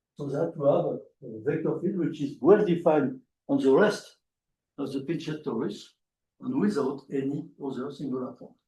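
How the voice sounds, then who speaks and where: A man with a French accent and a dark, mellow tone, somewhat breathy, fairly high in pitch, at a moderate pace with ordinary pitch variation and long, frequent pauses. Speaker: mathematician. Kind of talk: lecture. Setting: conference talk with audience. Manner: halting.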